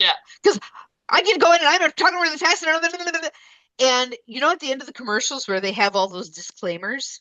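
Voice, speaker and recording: Projecting her voice, a woman speaks at a high pitch with very wide pitch swings and a bright, sharp tone. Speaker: podcast co-host. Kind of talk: podcast conversation. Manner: deliberately slow-paced.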